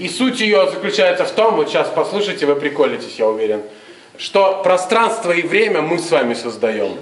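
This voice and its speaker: A man speaks at a moderate pace in a high pitch with very wide pitch swings. Audible room echo fills the recording. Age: 40s. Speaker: improv theatre director; theatre host. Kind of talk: address to audience before a show. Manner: casual, animated. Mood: animated storytelling. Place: hall. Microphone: camera far.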